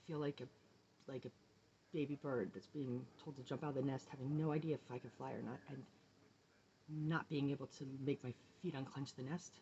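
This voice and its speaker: A woman talks at a fairly quick pace in a very deep, low voice, somewhat breathy and dark and mellow in tone. Her intonation stays fairly even, broken by long, frequent pauses. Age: 40s. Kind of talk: personal video diary to camera.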